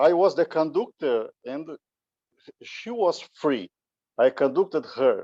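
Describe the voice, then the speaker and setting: With a Brazilian Portuguese accent, a man speaks at a very slow pace, leaving long, frequent pauses, his loudness swinging widely. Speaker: musician, conductor. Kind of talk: conference talk. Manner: halting.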